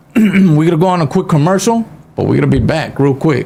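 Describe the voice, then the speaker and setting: There is noticeable background noise in this clip. Over it, a man talks at a moderate pace. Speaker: radio show host. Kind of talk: casual talk show chat. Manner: casual, filler-heavy.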